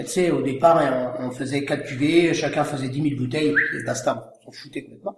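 In a normal speaking voice, a man with a fairly high pitch talks at a moderate pace with fairly even intonation and hardly any pauses. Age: 40s. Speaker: winegrower. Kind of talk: interview.

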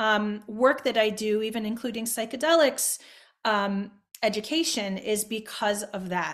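A woman's normal speaking voice, fairly high in pitch. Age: 50s. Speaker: neurologist. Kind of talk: casual chat. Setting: video call.

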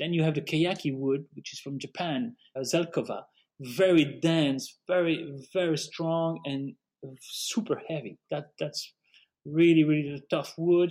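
A plain, everyday voice at a fairly slow pace, with big swings in loudness and ordinary pitch variation. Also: man, fairly high pitch for a man. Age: 50s. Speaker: art dealer. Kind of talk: interview.

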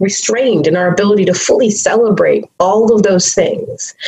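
There is noticeable background noise behind a woman speaking. Her intonation is lively, and her pace is moderate. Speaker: activist and consultant. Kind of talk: casual interview conversation.

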